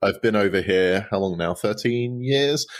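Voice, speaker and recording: In a very clean recording with a silent background, a man speaks with a fairly low pitch and ordinary pitch variation. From southeast England, Folkestone. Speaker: pastor. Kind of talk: casual chat.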